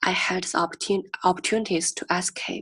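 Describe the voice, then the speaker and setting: The sound is dry and close with no echo as a woman with a Chinese accent speaks at a medium pitch. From rural China. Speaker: graduate student in oral communication. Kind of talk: interview answer.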